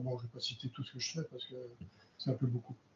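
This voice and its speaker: This man's pitch is fairly high. His voice is somewhat breathy. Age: 60s. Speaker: refrigeration trainer. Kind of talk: panel discussion. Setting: round table.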